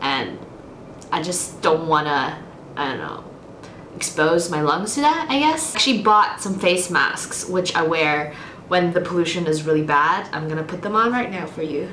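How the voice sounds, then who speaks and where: Noticeable background noise and audible room echo around a woman with a fairly low pitch at a moderate pace. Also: ordinary pitch variation. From Austria. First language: German and Mandarin. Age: 20s. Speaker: book vlogger. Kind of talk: casual Q&A vlog. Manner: casual, with many fillers.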